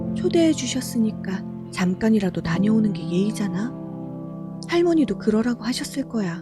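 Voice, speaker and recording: Music plays behind a woman speaking in a calm, soothing tone at a moderate pace, with medium pitch and ordinary pitch variation. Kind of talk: sleep story.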